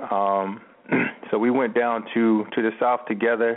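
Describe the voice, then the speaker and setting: Over noticeable background noise, a man with an American accent talks at a fairly slow pace in a flat, monotone way. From US Northeast (Camden, New Jersey, near Philadelphia). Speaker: automotive media entrepreneur, former college football player. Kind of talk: radio interview.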